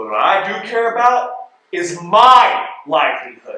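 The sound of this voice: A man's put-on character voice, high-pitched with big pitch swings and a bright, sharp tone, at a fairly slow pace in strong room echo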